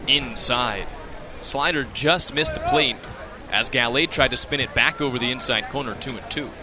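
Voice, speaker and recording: With lively intonation, a man talks at a moderate pace against noticeable background noise. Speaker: sports broadcaster. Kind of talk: baseball radio play-by-play.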